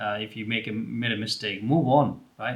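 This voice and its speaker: Bright and sharp in tone, a man with an Indian accent talks at a fairly slow pace, medium in pitch with ordinary pitch variation. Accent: Indian English (Telugu). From India, Telugu-speaking region. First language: Telugu. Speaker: career advice YouTuber. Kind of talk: advice talk to camera. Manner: casual with many fillers.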